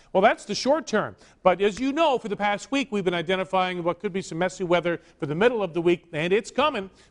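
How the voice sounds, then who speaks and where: Here a man speaks at a very fast pace. His pitch is high. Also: lively intonation, hardly any pauses, dry, close sound with no echo. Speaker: chief meteorologist. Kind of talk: TV weather forecast. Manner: conversational, friendly.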